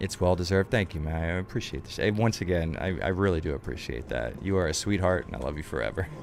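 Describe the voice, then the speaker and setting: A man's very deep, low voice at a very fast pace with lively intonation and hardly any pauses, over noticeable background noise. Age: 20s. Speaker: video game streamer. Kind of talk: casual live-stream commentary. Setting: live stream.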